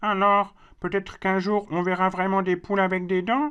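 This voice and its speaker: A female-sounding cartoonish character voice speaks at a middle pitch and a moderate pace. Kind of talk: children's educational puppet show. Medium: puppet.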